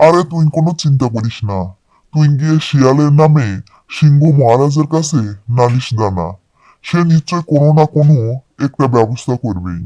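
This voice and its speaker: A cartoonish character voice sits at a low-to-middle pitch. The recording is very clean, with a silent background. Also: moderate pace. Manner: friendly, reassuring.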